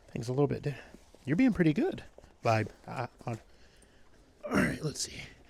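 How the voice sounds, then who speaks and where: A man's speech with long, frequent pauses against noticeable background noise. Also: moderate pace. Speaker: retired police K9 handler, vlogger. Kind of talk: casual vlog narration. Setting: at home, then outdoors at night. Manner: casual, hesitant with fillers.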